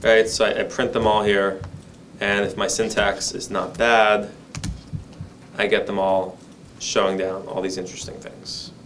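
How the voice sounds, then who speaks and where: Delivered at a moderate pace with long, frequent pauses, the monotone, flat speech carries audible room echo. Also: man, fairly low pitch for a man. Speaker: data skills instructor. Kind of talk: lecture.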